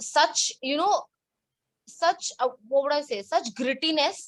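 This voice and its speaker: A woman speaks with a Bengali accent. Her pace is fairly slow. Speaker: book blogger. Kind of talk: casual chat.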